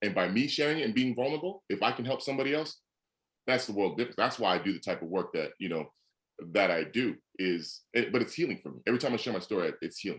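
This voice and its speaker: The speech rushes by at a very fast pace with very wide pitch swings. Vocal fry is present throughout. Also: man, medium pitch for a man. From Canada, Edmonton. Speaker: former football player and motivational speaker. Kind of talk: podcast interview.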